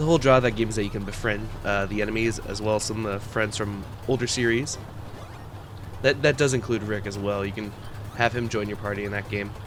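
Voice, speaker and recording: Over music in the background, a man talks at a very fast pace in a fairly low voice with fairly even intonation. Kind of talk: ASMR roleplay, casual rant about video game lore. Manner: nervous, flustered, dorky, rambling.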